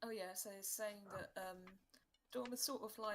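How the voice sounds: Natural reading voice, nothing more.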